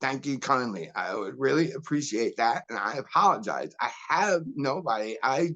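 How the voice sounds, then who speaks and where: Hardly pausing, a man speaks with lively intonation, vocal fry, and a bright, sharp tone. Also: fairly high pitch for a man, moderate pace. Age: 60s. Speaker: medical cannabis patient commenting at public meeting. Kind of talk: public comment. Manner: pleading, emotional.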